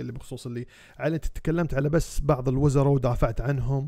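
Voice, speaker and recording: Dark and mellow in tone, a man's voice at a medium pitch moves at a fairly quick pace. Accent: Kuwaiti. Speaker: parliamentary candidate. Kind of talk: campaign video address to voters. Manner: hesitant, many fillers.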